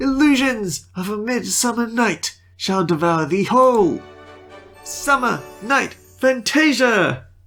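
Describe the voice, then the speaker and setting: A female-sounding put-on character voice, shaky and fairly high in pitch, delivers a dramatic tone at a fairly slow pace with faint music in the background. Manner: dramatic, declamatory.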